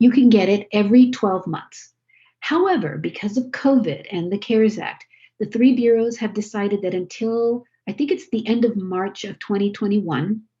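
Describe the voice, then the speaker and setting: This woman's voice sits fairly high, with a dark, mellow tone and a somewhat breathy quality. Her pitch varies in an ordinary way. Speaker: credit education presenter. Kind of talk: webinar presentation. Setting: video call. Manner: fast.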